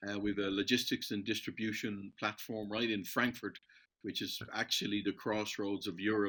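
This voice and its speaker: A man with an Irish accent, his fairly low pitch delivered in a bright, sharp tone, monotone and flat, at a moderate pace, on a very clean recording with a silent background. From Ireland. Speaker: metals supplier and entrepreneur. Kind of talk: podcast interview.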